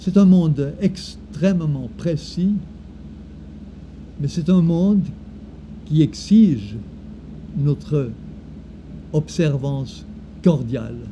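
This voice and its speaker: A man at a very slow pace, fairly high in pitch, with lively intonation and long, frequent pauses. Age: 70s. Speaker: former creativity trainer. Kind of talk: personal reflective talk. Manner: halting.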